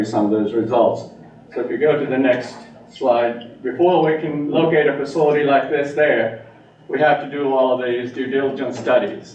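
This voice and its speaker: A man speaks with ordinary pitch variation. Audible room echo and noticeable background noise fill the recording. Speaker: engineer presenting to town council. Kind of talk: presentation. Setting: town council meeting. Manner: fast.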